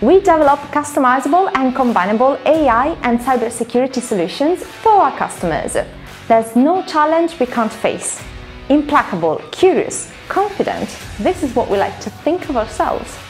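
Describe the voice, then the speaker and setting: Faint music plays in the background as a woman talks at a moderate pace in a high pitch. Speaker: presenter. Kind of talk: corporate presentation.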